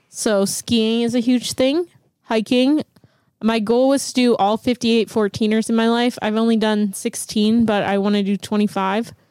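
Speaking at a fairly slow pace, a woman with a Pittsburgh accent has a fairly high voice with a dark, mellow tone and fairly even intonation. Her loudness stays very even, and the sound is dry and close with no echo. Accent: Pittsburgh American. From Pittsburgh, Pennsylvania. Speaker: DJ. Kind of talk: casual chat.

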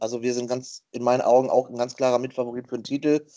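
Very fast speech comes from a man with a dark, mellow tone. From western Germany. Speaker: quiz contestant, streamer. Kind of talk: casual quiz show chat. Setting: Skype call.

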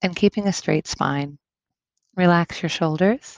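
Against a quiet background, a woman uses an ordinary speaking voice at a fairly low pitch with ordinary pitch variation, the sound dry and close with no echo. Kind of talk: guided meditation. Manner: calm, slow and soothing, with gentle instructions; soft-spoken, with long pauses between instructions.

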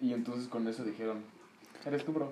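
Amid noticeable background noise and audible room echo, a man with a medium pitch speaks at a fairly quick pace with fairly even intonation. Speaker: guest. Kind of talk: casual chat.

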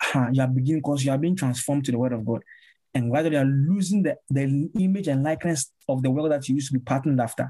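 A man with a dark, mellow tone and fairly high pitch talks at a very fast pace, somewhat breathy, with ordinary pitch variation and very even loudness, in a very clean recording with a silent background. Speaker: pastor and musician. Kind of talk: preaching-style conversation. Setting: podcast interview.

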